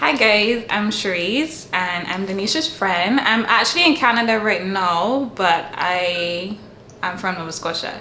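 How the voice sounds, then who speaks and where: With lively intonation, a woman speaks fairly slowly at a medium pitch, noticeable background noise and audible room echo in the recording. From Barbados. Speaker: international student. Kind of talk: casual interview chat.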